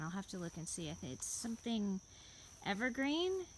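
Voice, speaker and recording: A quiet woman's voice at medium pitch. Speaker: home gardener. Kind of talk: casual garden tour narration.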